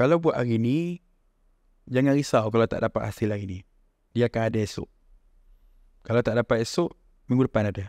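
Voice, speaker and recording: A man talks at a fairly quick pace with long, frequent pauses and ordinary pitch variation. The sound is dry with no echo, over a quiet background. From Malaysia. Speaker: founder of a local shoe brand; podcast guest. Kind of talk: casual chat. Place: home room. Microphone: studio mic.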